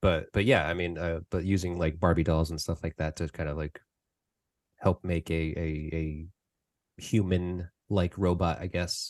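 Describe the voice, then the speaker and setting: Against a quiet background, a man speaks in a very deep, low voice at a fairly slow pace with monotone, flat intonation, the sound dry and close with no echo. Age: 40s. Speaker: podcast host. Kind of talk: casual interview. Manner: halting, many fillers.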